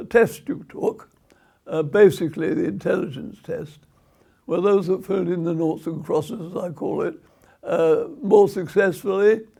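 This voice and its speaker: His voice sits high for a man, and this speaker's pitch rises and falls in an ordinary way. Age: 100 year old. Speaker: retired teacher and education activist. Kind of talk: interview answer.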